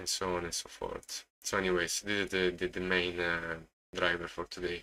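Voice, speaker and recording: A man's very deep, low voice in an Italian accent, bright and sharp in tone, monotone and flat, at a moderate pace. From Italy. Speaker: day trader streamer. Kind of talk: live-stream commentary. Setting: live stream. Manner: halting, many repetitions.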